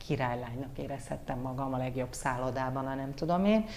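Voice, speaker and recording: Audible room echo colors this recording. A woman speaks in a very deep, low voice. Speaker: former news anchor and model, communications head. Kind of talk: casual interview.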